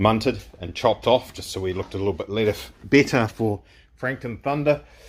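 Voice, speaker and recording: A man's fairly low-pitched voice with lively intonation. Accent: New Zealand. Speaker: car builder, video creator. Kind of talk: workshop tutorial vlog.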